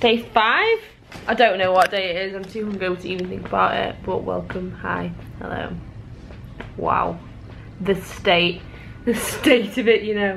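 A woman speaks at a moderate pace in a weary tone, with long, frequent pauses. Her loudness swings widely over light background noise. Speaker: vlogger. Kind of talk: casual vlog chat. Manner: groggy, weary hungover voice. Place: home room. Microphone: phone near.

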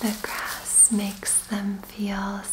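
A soft-spoken woman with a gentle tone, talking at a very slow pace over noticeable background noise. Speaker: Reiki practitioner and meditation guide. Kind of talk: guided meditation. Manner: soft-spoken, gentle. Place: home room.

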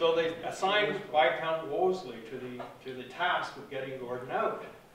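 Amid light background noise and audible room echo, a man speaks at a moderate pace with lively intonation. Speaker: guest. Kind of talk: interview answer. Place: hall. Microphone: camera far.

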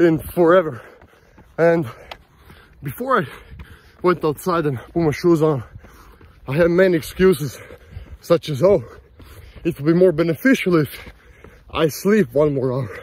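A man's high voice at a moderate pace, with ordinary pitch variation, long and frequent pauses, and a dry sound with no echo. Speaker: vlogger. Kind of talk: casual vlog chat. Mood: motivational, self-reflective. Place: open country. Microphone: phone near.

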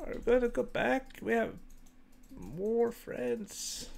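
A man uses a put-on character voice pitched extremely high. He speaks fairly slowly. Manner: worried and questioning.

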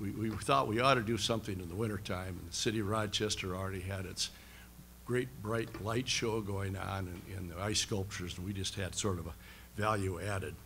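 Over light background noise, a man speaks fairly quickly in a fairly low voice with a bright, sharp tone. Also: fairly even intonation. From US Midwest. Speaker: county government director. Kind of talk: press conference remarks. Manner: halting. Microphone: podium.

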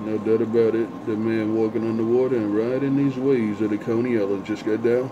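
A man talks at a moderate pace in a monotone, flat intonation, with noticeable background noise behind him. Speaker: CB radio operator. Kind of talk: radio chatter. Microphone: two way radio.

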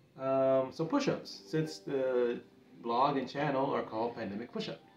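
A man speaks at a moderate pace, with audible room echo and faint music in the background. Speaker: home fitness vlogger. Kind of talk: casual vlog chat. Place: home room.

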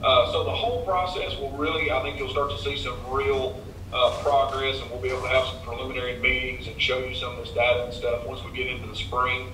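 Speaking at a very fast pace with hardly any pauses, a man is heard over light background noise and audible room echo. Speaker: engineer. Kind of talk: project briefing. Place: hall.

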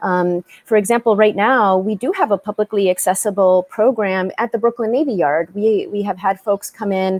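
A woman talks in a normal speaking voice at a medium pitch and a moderate pace. Her intonation is fairly even, and she hardly pauses. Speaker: tech company co-founder; panelist. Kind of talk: panel discussion. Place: home room. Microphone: video call.

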